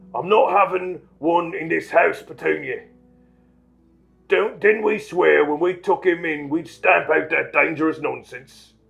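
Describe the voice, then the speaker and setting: Putting on a gruff character voice, a man speaks high and at a fairly slow pace over faint music in the background. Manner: gruff, blustering, bullying.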